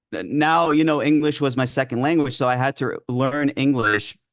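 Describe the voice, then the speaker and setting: A man speaking at a fairly slow pace over a quiet background. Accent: New York. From New York, with early childhood in Greece. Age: 20s. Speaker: ADHD coach. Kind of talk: interview. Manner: hesitant, many fillers.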